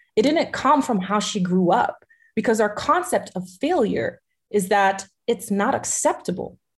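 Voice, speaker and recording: Somewhat breathy and fairly high in pitch, a woman with an American accent talks at a moderate pace with lively intonation. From Haitian American family, US. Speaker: entrepreneur and ecosystem strategist. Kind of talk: interview.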